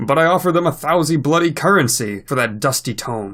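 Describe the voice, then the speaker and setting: Lively intonation marks a man's put-on character voice. He moves at a fairly quick pace. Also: fairly high pitch for a man. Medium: read story. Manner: pompous, imperious.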